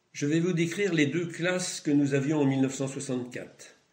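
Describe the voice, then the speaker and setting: This man's speech has ordinary pitch variation and a moderate pace, with audible room echo around it. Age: 80s+. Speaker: retired schoolteacher. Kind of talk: testimony. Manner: formal.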